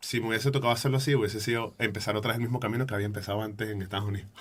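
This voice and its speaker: Here a man speaks with a Venezuelan accent and a medium pitch. His voice is somewhat breathy, with ordinary pitch variation. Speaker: photographer and podcaster. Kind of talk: interview answer.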